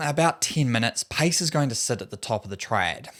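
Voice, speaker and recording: Speaking with a New Zealand accent at a fairly quick pace, a man uses a medium pitch on a very clean recording with a silent background. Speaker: running coach. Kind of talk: tutorial.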